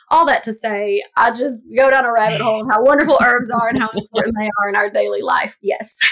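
With an American accent, a woman talks at a fairly quick pace with hardly any pauses, at a fairly high pitch with ordinary pitch variation, against noticeable background noise. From US South. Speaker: herbalist. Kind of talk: casual chat. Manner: animated.

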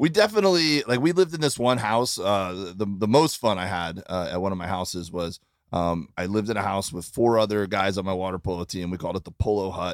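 Very fast and with hardly any pauses, a man with a slight Midwestern accent and fairly low pitch speaks on a very clean recording with a silent background. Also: ordinary pitch variation. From Florida. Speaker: comedian. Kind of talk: casual chat. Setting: tour bus.

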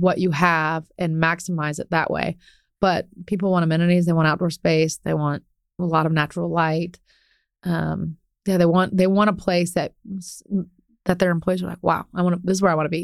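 The speaker has an American accent and keeps a moderate pace. The intonation is monotone and flat. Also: woman. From Ohio, US Midwest. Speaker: commercial real estate broker. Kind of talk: interview conversation.

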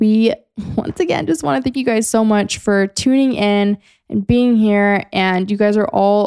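This woman has an unremarkable speaking voice at medium pitch, talking at a moderate pace with fairly even intonation in a dry, close sound with no echo. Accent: American. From California. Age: 20s. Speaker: podcast host. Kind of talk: casual chat.

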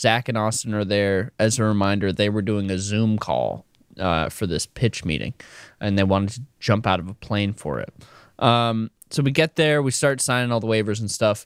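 A man's ordinary speaking voice at a fairly low pitch and moderate pace, with ordinary pitch variation, dry and close with no echo, in a very clean recording with a silent background. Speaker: podcast co-host. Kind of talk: casual chat.

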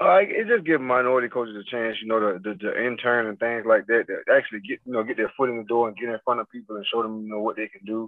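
A man's very fast, medium-pitched speech, with fairly even intonation and big swings in loudness. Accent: American. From Florida (Fort Pierce). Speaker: football coach, former NFL player. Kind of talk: interview.

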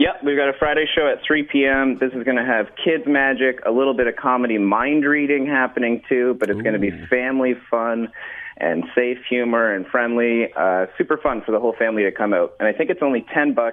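At a fairly quick pace, a man with a medium pitch and ordinary pitch variation has a plain, everyday voice. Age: 30s. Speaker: magician. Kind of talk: radio interview. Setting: phone call.

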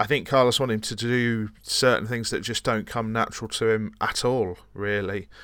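A man with a normal speaking voice talks at a moderate pace and medium pitch, with hardly any pauses. His intonation is fairly even, and the recording is very clean with a silent background. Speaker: football podcast co-host. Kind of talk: casual chat about football.

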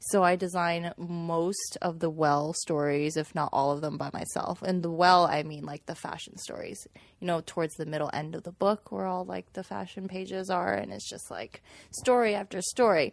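Her pitch fairly low, a woman speaks at a moderate pace with lively intonation. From Manhattan, Kansas, US (born in China). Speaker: magazine design director. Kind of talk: casual chat. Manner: animated.

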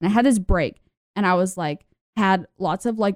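A woman with a plain, everyday voice and an American accent speaks at a moderate pace with ordinary pitch variation. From US South. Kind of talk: casual chat. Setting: video call.

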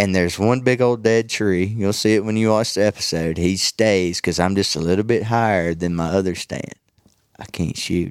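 A man talks at a moderate pace in a fairly low pitch. The recording is very clean, with a silent background. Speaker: outdoor TV show host and bowhunter. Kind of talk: casual chat. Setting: trade show. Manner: animated.

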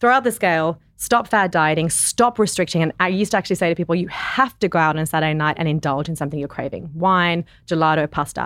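Her voice is fairly low for a woman. She talks at a very fast pace. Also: ordinary pitch variation, very clean recording, silent background. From South Africa. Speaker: nutritionist and wellness entrepreneur. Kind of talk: casual interview chat. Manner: soothing.

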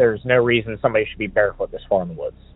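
Here a man talks with an American accent. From Pittsburgh, Pennsylvania. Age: 20s. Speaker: caller. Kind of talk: storytelling.

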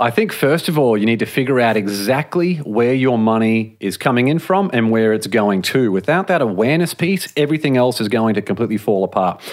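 A man with an Australian accent talks at a fairly quick pace in a medium pitch, with hardly any pauses. His intonation is lively and his loudness very even. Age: 30s. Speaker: author and podcaster. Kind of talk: interview.

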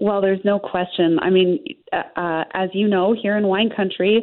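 Woman at medium pitch and a moderate pace, an ordinary speaking voice. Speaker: winery owner. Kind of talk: interview.

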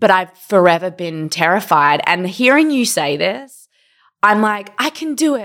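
With an Australian accent, a woman talks fairly slowly at a medium pitch, her voice making very wide pitch swings. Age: 30s. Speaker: podcast co-host. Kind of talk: casual chat. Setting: hotel room, video call.

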